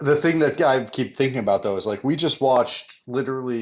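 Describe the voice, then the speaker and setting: Very fast speech comes through here. The speaker is a man. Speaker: podcast co-host. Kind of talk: casual chat.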